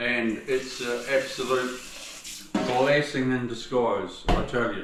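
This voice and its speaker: Over noticeable background noise, a man speaks at medium pitch with an Australian accent. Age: 60s. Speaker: tiler. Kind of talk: casual talk to camera. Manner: relaxed, chatty.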